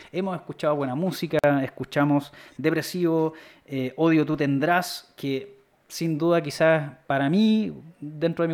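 On a very clean recording with a silent background, a man with a Chilean accent talks at a fairly high pitch. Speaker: podcast host. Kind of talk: casual chat. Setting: live stream. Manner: animated.

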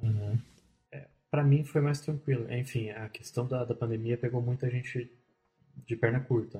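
At a moderate pace, a somewhat breathy man of medium pitch speaks with fairly even intonation, long, frequent pauses and big swings in loudness. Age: 20s. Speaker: back-end software developer. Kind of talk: podcast interview. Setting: studio.

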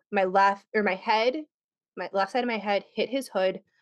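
Against a quiet background, a woman talks in a plain, everyday voice at a medium pitch and moderate pace. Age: 30s. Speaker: podcast host and guest. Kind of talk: casual chat.

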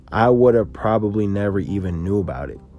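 At a moderate pace, a man talks in a plain, everyday voice that sits fairly low, with ordinary pitch variation. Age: 20s. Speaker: podcast host and sneaker reseller. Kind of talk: casual solo podcast monologue. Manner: casual, filler-heavy.

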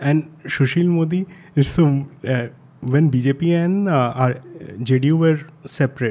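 His tone is dark and mellow, with a fairly high pitch and ordinary pitch variation. This man leaves long, frequent pauses. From India. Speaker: journalist and newsletter editor. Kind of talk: casual chat.

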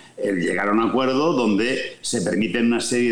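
A man's medium-pitched voice with ordinary pitch variation at a fairly slow pace, plus audible room echo and noticeable background noise. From Catalonia, Spain (Vic). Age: 60s. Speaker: sports business executive and former journalist. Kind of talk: interview. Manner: halting, frequent repetitions.

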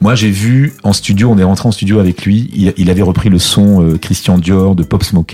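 A man speaks with a very deep, low pitch and fairly even intonation. Noticeable background noise runs behind him. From Côte d'Ivoire (Abidjan), Martinican family. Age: 50s. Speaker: music business executive. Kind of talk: interview.

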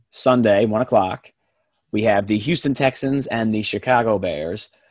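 The recording is very clean, with a silent background. A man speaks at a medium pitch and a moderate pace, with ordinary pitch variation. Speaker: podcast host. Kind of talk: casual sports talk.

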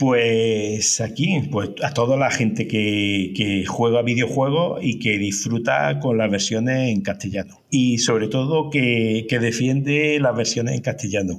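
A man at a medium pitch, lively in intonation and very even in loudness, at a fairly slow pace with hardly any pauses, over noticeable background noise. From Andalusia, Córdoba. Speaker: dubbing and localization company director. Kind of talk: casual interview. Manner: halting, many repetitions.

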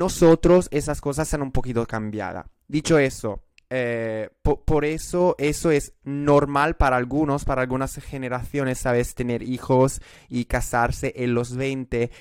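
A man with an Italian accent speaks at a fairly slow pace in a medium pitch, with fairly even intonation. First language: Italian (speaking Spanish). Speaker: podcast guest. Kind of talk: casual chat. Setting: video call. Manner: halting.

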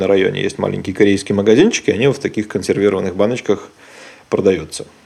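A dark, mellow tone at a very fast pace, with ordinary pitch variation. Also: man. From Belarus. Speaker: podcast host. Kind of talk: casual chat.

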